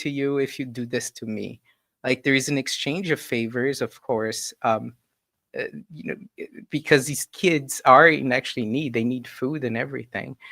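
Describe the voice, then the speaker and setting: A man speaks at a medium pitch and moderate pace, with ordinary pitch variation and a bright, sharp tone. The recording is very clean and dry, with a silent background and no echo. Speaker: spiritist lecturer. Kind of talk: lecture. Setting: live stream.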